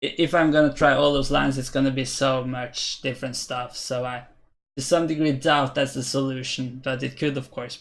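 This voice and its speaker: Medium-pitched male voice with a Norwegian accent, monotone and flat, with big swings in loudness, on a very clean recording with a silent background. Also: moderate pace. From Norway. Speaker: chess streamer. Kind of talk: live-stream commentary. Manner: hesitant, many fillers.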